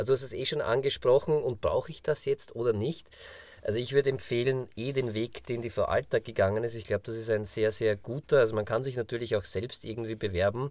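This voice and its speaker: A man talks at a very fast pace in a medium pitch with fairly even intonation. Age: 40s. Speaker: podcast co-host. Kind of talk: casual chat.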